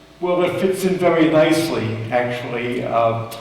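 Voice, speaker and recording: A man in an American accent talks at a very slow pace, with audible room echo and noticeable background noise. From US Northeast (Long Island, New York). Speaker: railroad historian and author. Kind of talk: public lecture.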